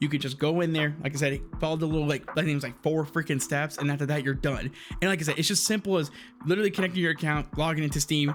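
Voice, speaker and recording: Excited and very fast, a man speaks at a fairly high pitch with very even loudness. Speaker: gaming streamer. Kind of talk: casual video commentary. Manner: stuttering, excited.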